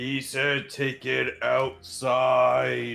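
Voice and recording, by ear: A man performs a put-on character voice, loud, booming and raspy. Music plays in the background.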